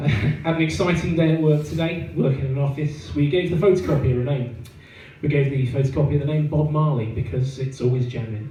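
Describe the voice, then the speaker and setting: A man with a southern English accent speaks fairly quickly, with ordinary pitch variation. Audible room echo surrounds his voice. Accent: southern English, noticeable in Yorkshire. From southeast England, Kent. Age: 30s. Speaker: stand-up comedian. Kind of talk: stand-up. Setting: stage with audience. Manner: halting, many fillers.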